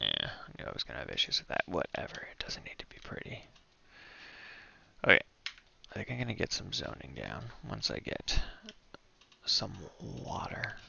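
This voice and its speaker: Whispering with big swings in loudness and long, frequent pauses, a man is heard over noticeable background noise. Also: moderate pace. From Canada. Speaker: gaming streamer. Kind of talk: gameplay commentary. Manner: casual.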